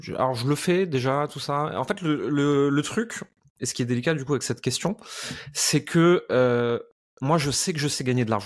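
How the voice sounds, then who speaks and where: A man speaks at a moderate pace in a fairly high pitch, with ordinary pitch variation. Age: 30s. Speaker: entrepreneur and business coach. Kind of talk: interview. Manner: outspoken, blunt.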